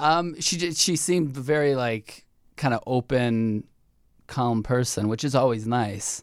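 Against a silent background on a very clean recording, a man with a plain, everyday voice speaks at a medium pitch and fairly slow pace with ordinary pitch variation. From US Midwest, Chicago suburbs. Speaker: dating show contestant. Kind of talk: casual chat. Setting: studio.

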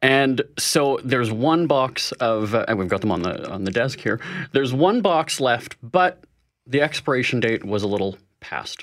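A man with an ordinary speaking voice and a Canadian accent talks at medium pitch and a moderate pace, his intonation lively. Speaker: money-saving expert. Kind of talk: interview. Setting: studio.

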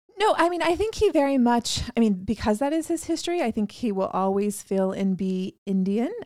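Moving at a fairly quick pace with hardly any pauses, this voice makes very wide pitch swings over noticeable background noise. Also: woman, fairly high pitch for a woman. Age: 30s. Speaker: wellness business founder. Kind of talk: casual chat.

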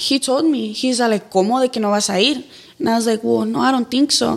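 Very fast, fairly high-pitched speech from a woman, with ordinary pitch variation. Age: young. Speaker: YouTuber and TikTok creator. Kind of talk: casual interview chat.

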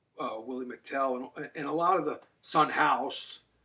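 A man with an American accent, an ordinary speaking voice, fairly high pitch and fairly even intonation. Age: 50s. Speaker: heavy metal guitarist. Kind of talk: casual chat.

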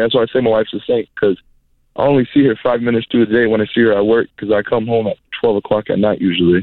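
A man speaks with fairly even intonation. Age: 20s. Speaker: apprentice tattoo artist. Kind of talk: phone call-in.

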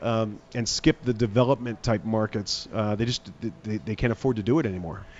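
With an American accent, a man speaks at a fairly quick pace in a medium pitch with fairly even intonation and a plain, everyday voice. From United States. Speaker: arena general manager. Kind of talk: radio interview. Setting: on location remote broadcast.

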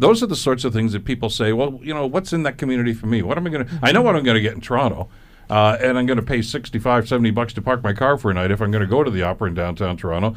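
A Canadian-accented man talks at a medium pitch. His pace is very fast, with hardly any pauses. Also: ordinary pitch variation. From Canada, Hamilton, Ontario. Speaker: radio talk show host. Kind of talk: radio panel discussion. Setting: radio studio.

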